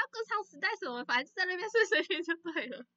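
A woman with an extremely high pitch talks at a fairly quick pace in a raised, projected voice, her pitch swinging very widely. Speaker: podcast co-host. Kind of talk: casual chat. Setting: video call. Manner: frequent laughter.

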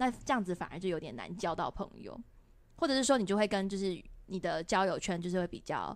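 A woman's normal speaking voice at a medium pitch, fairly quick, with lively intonation. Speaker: podcast host. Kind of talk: casual interview chat.

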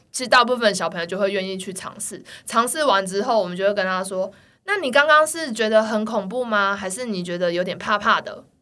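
A woman speaks at a fairly quick pace in a medium pitch, her tone bright and sharp, with ordinary pitch variation. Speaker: children's gymnastics coach. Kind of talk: casual chat. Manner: animated.

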